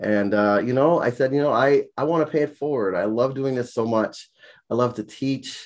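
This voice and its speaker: Over a quiet background, a man with an American accent uses an unremarkable speaking voice at medium pitch, moderate pace and ordinary pitch variation. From US Virgin Islands, St. Croix. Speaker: college sociology instructor. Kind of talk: casual interview.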